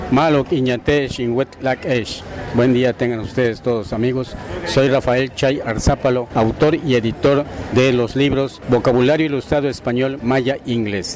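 A man at a fairly slow pace with fairly even intonation, over noticeable background noise. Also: medium pitch for a man. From Yucatán, Mexico (Valladolid). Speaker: author and retired teacher. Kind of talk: interview at a book fair. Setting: book fair stand.

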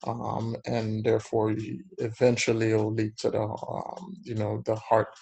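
With a dark, mellow tone and a somewhat breathy quality, the man speaks in a monotone, flat intonation. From Haiti. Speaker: cardiologist. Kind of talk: educational interview.

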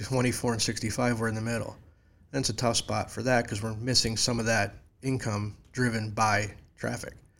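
A man speaks in an upstate New York accent with monotone, flat intonation. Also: medium pitch for a man, moderate pace. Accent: upstate New York (Inland North). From upstate New York (near Syracuse, Lake Ontario). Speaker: local community organizer and graphic designer. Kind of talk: casual chat. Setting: studio.

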